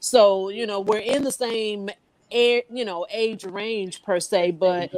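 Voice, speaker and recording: This woman has a plain, everyday voice at a medium pitch, with ordinary pitch variation and a fairly slow pace. The sound is dry and close, with no echo. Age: 50s. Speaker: panel guest. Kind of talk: casual chat.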